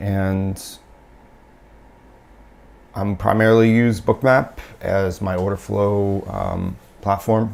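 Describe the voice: A man speaks with fairly low pitch and fairly even intonation. His voice is raspy, with vocal fry. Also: slightly mellow tone.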